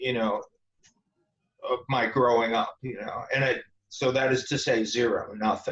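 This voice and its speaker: Using an ordinary speaking voice, a man of medium pitch talks at a moderate pace with ordinary pitch variation. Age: 40s. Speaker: esoteric author and Freemason. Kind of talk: interview.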